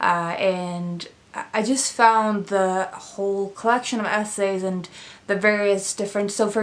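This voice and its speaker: Fairly even intonation accompanies a fairly slow pace of speech. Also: woman. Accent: Swedish. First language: Swedish. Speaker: book reviewer. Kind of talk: casual book review vlog. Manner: hesitant, many fillers.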